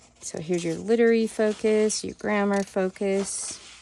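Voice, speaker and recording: A woman with an unremarkable speaking voice, fairly even intonation and a moderate pace. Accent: American. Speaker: homeschool vlogger. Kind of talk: curriculum flip-through review. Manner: casual with frequent fillers.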